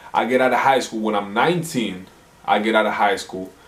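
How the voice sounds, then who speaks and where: Speaking with an American accent, a man talks at a moderate pace in a medium pitch with ordinary pitch variation. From Houston, Texas. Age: 20s. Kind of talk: casual talk to camera.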